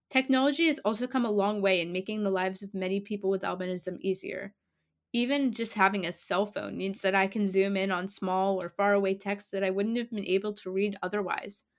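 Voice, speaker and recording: On a very clean recording with a silent background, a woman talks at a fairly quick pace in a plain, everyday voice, with medium pitch and fairly even intonation. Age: young. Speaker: podcast host. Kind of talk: scripted narration. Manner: formal.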